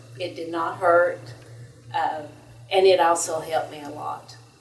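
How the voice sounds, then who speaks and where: A woman talks at a fairly low pitch. Room echo is audible, and background noise is noticeable. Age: 60s. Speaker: patient. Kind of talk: testimony. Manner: hesitant, many fillers.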